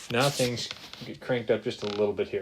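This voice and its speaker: Very fast speech from a man, with noticeable noise behind him. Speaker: math teacher. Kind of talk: tutorial.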